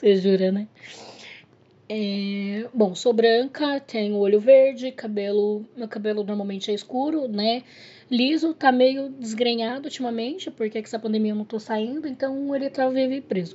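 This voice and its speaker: Her pitch fairly high and its variation ordinary, a woman with an unremarkable speaking voice talks at a moderate pace. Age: 30s. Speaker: podcast guest, host's partner. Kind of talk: casual chat.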